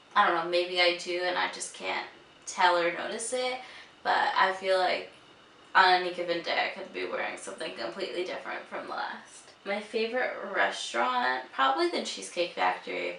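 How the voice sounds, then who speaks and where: Mumbling at a moderate pace, a woman makes big swings in loudness, with audible room echo and noticeable background noise. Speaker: beauty and lifestyle vlogger. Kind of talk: casual vlog chat.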